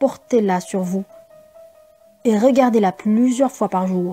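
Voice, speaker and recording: A woman talks fairly slowly, with music in the background. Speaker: voice-over artist. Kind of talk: self-help book reading. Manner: calm, slow.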